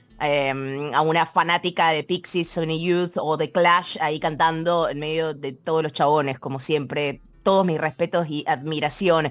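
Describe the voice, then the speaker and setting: A woman in a Rioplatense accent, very deep and low in pitch, at a fairly slow pace with hardly any pauses and fairly even intonation, on a very clean recording with a silent background. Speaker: radio host. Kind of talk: radio show presenting music, casual and warm. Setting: radio studio.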